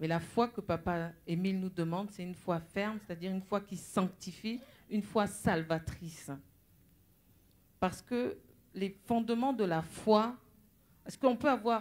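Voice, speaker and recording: Speaking fairly slowly, a woman holds a medium pitch with ordinary pitch variation. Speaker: preacher. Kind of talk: sermon.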